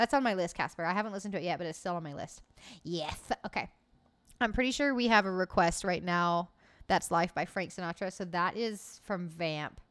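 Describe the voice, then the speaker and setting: A woman with an American accent at a fairly quick pace, ordinary pitch variation, and a quiet background. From US, Oklahoma. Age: 20s. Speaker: gaming streamer. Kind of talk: casual chat with live chat viewers. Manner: animated. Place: home room. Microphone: studio mic.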